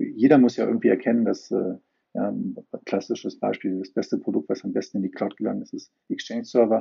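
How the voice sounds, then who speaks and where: Male speech, fairly quick, with big swings in loudness. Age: 50s. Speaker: IT company founder. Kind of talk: interview.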